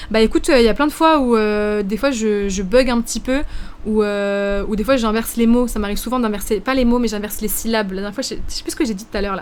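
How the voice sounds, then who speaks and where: A woman talks at a very fast pace, her pitch fairly high with ordinary variation. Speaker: streamer. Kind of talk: live stream chat reacting to viewers. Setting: live stream. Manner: hesitant, many fillers.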